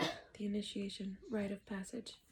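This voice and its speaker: At a fairly slow pace, a woman speaks in a somewhat breathy voice. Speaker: tarot reader. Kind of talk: casual tarot reading livestream. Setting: at home. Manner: soft-spoken, sometimes quiet.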